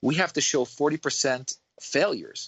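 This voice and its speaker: A man with a New York accent. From Queens, New York. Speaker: dentist. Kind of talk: casual chat.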